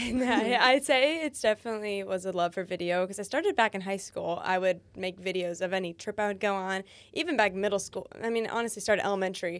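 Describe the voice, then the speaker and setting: At a very fast pace with hardly any pauses, a woman speaks in a medium pitch with ordinary pitch variation. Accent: American. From Florida (Daytona Beach). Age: 20s. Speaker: YouTuber and content creator. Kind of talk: podcast interview.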